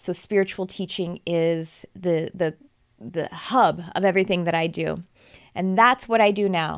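A woman with an American accent speaks at a fairly low pitch with ordinary pitch variation. Her pace is fairly slow, and the recording is very clean with a silent background. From Texas. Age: 40s. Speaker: podcast host and spiritual teacher. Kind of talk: spiritual podcast monologue. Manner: casual, with hesitations and self-corrections.

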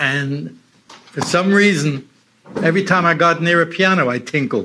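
The intonation is lively while the pace stays very slow. The speaker is a man. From Toronto, Canada. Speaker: musician and storyteller. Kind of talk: storytelling talk to an audience. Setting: live event with audience.

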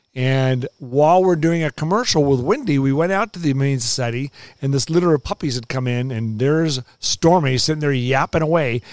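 A plain, everyday voice from a man with an American accent, fairly high in pitch, at a moderate pace with hardly any pauses and ordinary pitch variation, dry and close with no echo. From US West Coast, Los Angeles. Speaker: meteorologist. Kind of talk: casual interview.

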